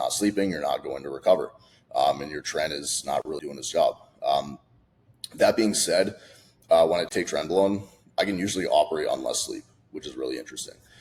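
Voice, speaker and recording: A man at a fairly quick pace, with long, frequent pauses and big swings in loudness. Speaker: fitness coach. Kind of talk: casual talking-head video. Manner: fast; animated.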